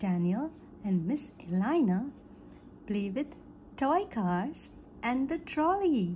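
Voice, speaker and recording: A woman's dark, mellow, gentle tone at a very slow pace, with very wide pitch swings and long, frequent pauses. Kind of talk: bedtime story reading aloud for young children. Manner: gentle, simple and slow, storybook read-aloud pace.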